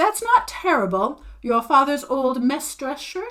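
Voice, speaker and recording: A woman puts on a character voice in a high pitch. Her pitch swings very widely. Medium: read story. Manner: curt, brusque.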